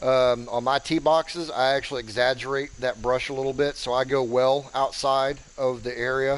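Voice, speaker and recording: This is a man talking at a medium pitch. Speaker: gaming streamer. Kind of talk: live game commentary. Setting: live stream. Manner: monotone; deadpan.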